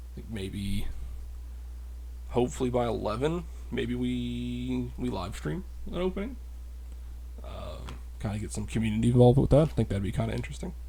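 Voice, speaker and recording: Quiet and somewhat breathy, a man with a very deep, low pitch and a dark, mellow tone talks at a fairly quick pace with long, frequent pauses, amid audible room echo. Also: ordinary pitch variation, big swings in loudness. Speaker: card unboxing youtuber. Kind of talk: casual solo unboxing commentary. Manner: quiet, low-key.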